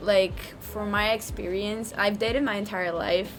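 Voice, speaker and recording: Against noticeable background noise, a woman with a Portuguese accent speaks in a monotone, flat intonation. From Brazil, Rio de Janeiro. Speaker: college student, podcast guest. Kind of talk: casual chat.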